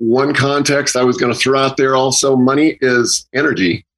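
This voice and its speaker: A man speaks at a fairly slow pace. His medium-pitched voice is an unremarkable speaking voice. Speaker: guest speaker on Buddhism and values. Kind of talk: casual discussion.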